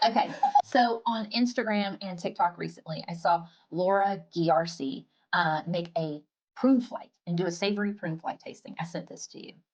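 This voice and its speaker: A woman with a strong Southern US accent talks at a moderate pace in a medium pitch, somewhat breathy, with ordinary pitch variation and big swings in loudness. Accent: thick Southern US. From US South. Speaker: food blogger. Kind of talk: casual chat.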